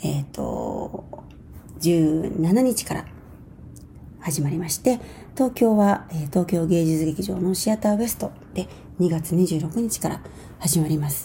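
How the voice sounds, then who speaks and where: The voice is somewhat breathy with a dark, mellow tone and ordinary pitch variation. It moves at a fairly slow pace with long, frequent pauses. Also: woman, fairly low pitch for a woman. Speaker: dancer and choreographer. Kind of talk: radio monologue.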